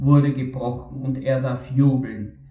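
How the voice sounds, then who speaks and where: Noticeable background noise sits behind this voice. A man with a fairly high pitch speaks at a very slow pace. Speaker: preacher. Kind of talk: sermon. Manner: formal, earnest; measured, reflective.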